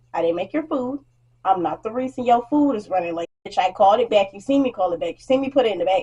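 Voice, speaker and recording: Her tone dark and mellow, a woman speaks very fast with very wide pitch swings in a dry, close sound with no echo. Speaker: beauty vlogger and food service worker. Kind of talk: casual get-ready-with-me story time. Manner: quiet, calm delivery.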